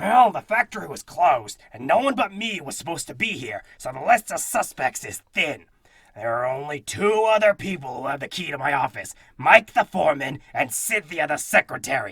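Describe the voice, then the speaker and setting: Using a put-on character voice at a fairly high pitch, a man talks at a moderate pace with hardly any pauses. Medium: audio drama. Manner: blustery, dramatic.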